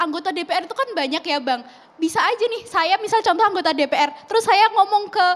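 A woman's extremely high voice at a fairly quick pace, with lively intonation. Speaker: student activist. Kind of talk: televised talk show debate. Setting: TV studio. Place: studio. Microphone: handheld.

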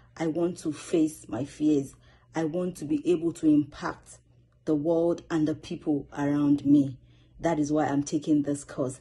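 With a Nigerian accent, a woman speaks fairly slowly in a very deep, low voice with a dark, mellow tone and a monotone, flat intonation. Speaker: student public speaker. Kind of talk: self-introduction video. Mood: earnest, motivated. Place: home room. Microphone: phone near.

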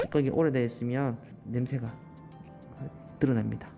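Someone speaks at a moderate pace with a Daegu accent, with music playing in the background. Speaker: toenail care specialist. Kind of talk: casual talk to client during treatment.

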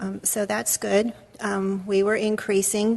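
A woman speaks at a fairly slow pace with monotone, flat intonation. Noticeable background noise runs under her voice. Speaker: city finance official. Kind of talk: budget presentation at council meeting. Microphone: too quiet, far from mic.

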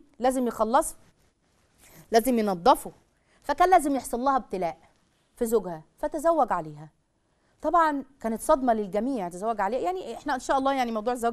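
Against a quiet background, a woman talks at a fairly quick pace in a high pitch with very wide pitch swings. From Egypt. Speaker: religious family-life speaker; TV presenter. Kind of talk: religious talk to a live audience; religious-social talk to camera. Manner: animated. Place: studio.

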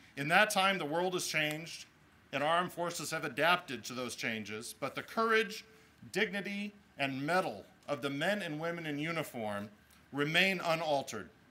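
With lively intonation, a man speaks in a bright, sharp tone. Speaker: mayor. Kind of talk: formal speech. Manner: formal. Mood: solemn, respectful. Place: street. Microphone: podium.

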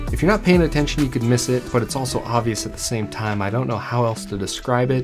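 A man talks while clear music plays in the background. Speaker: hiking channel host. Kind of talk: trail review talk to camera. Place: studio.

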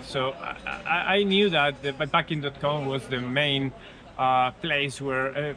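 A man with a Spanish accent, fairly high-pitched, at a fairly slow pace with fairly even intonation, dry with no echo over light background noise. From Spain. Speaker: cycling route designer. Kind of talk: interview. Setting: outdoors. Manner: halting, repeats words. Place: cafe.

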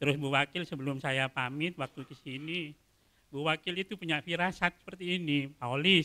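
Fairly high in pitch with a bright, sharp tone, a man speaks at a moderate pace with fairly even intonation. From Madura, Indonesia; Indonesia. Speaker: court clerk. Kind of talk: formal introduction speech. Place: hall. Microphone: podium.

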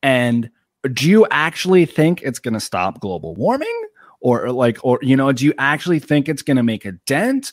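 On a very clean recording with a silent background and a dry, close sound with no echo, a man with an American accent talks at a moderate pace, fairly high-pitched and with lively intonation. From Long Island, New York. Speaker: YouTuber and political commentator. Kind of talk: casual interview chat.

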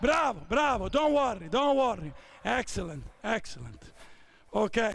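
Shouting at an extremely high pitch with very wide pitch swings, a man is heard in a dry recording with no echo and light background noise. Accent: Italian. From Italy. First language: Italian. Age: 50s. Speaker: basketball coach. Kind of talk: coaching clinic. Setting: basketball court with players. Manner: shouted on-court commands. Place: hall.

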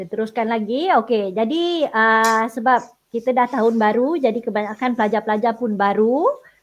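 At a moderate pace, a woman speaks with a fairly high pitch and ordinary pitch variation in an unremarkable speaking voice. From Sabah, Malaysia. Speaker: secondary school teacher. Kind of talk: online tutoring lesson.

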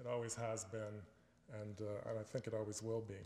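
Speaking at a moderate pace with a Canadian accent, a man is heard with audible room echo. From Canada, Ontario (Richmond Hill); Ontario, Canada. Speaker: environmentalist and author; alumnus guest lecturer. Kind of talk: lecture. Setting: stage with audience. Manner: halting, many fillers and repeats. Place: hall. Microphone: podium.

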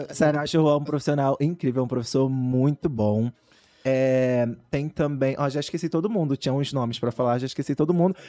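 With an ordinary speaking voice, a man talks at a fairly quick pace and fairly high pitch against a quiet background. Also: ordinary pitch variation. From São Gonçalo, Rio de Janeiro; Rio de Janeiro. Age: 20s. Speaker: professional dancer; podcast guest. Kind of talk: casual chat. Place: studio. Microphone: studio mic.

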